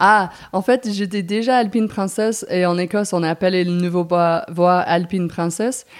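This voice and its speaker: On a very clean recording with a silent background, a woman speaks with an English accent. Her medium pitch carries fairly even intonation at a fairly slow pace. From US Northeast, New Jersey. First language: English (speaking French). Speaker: mountain guide. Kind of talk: interview. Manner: halting.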